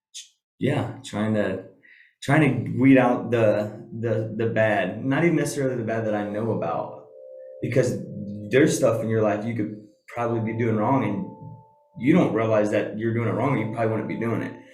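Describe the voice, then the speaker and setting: Over music in the background and with audible room echo, a man speaks at a moderate pace in a medium pitch, using ordinary pitch variation and long, frequent pauses. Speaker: podcast guest. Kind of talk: casual chat.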